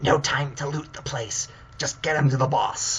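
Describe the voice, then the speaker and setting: Over clear background noise, someone uses a put-on character voice at a low-to-middle pitch and a moderate pace. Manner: curt, gruff, hurried.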